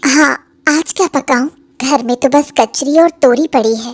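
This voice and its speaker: A woman puts on a cartoonish character voice at a high pitch. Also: moderate pace, fairly even intonation. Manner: brisk, practical.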